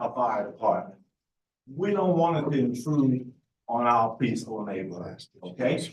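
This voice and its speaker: A man with an American accent speaks in a somewhat breathy voice with lively intonation at a fairly slow pace, and the room echo is audible. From Charleston area, South Carolina. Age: 70s. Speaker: resident speaking at public hearing. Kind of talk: public comment at meeting.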